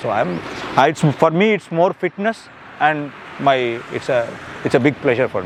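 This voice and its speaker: Over noticeable background noise, a man speaks at a fairly high pitch with lively intonation. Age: 50s. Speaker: customer reviewer. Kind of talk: interview. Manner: halting.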